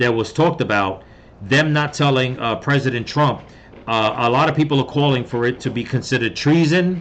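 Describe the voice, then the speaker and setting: A man talks at a medium pitch. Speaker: political commentary YouTuber. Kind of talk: casual commentary vlog. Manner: halting, many fillers.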